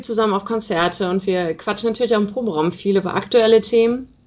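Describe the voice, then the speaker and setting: A woman talks in a normal speaking voice at medium pitch. Her intonation stays fairly even. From Rhineland, Germany (Aachen area). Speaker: rock band musician. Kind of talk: interview. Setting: internet call.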